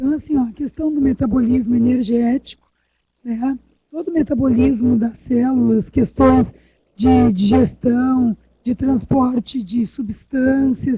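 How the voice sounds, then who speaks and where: A woman speaks at a high pitch with ordinary pitch variation and a dark, mellow tone. The pace is fairly slow, and the sound is dry and close with no echo. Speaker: university lecturer. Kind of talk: online lecture.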